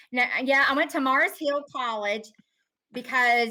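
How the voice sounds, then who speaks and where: In an Appalachian accent, a woman talks at a high pitch with ordinary pitch variation and a bright, sharp tone. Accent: Appalachian mountain. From North Carolina mountains. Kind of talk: casual chat.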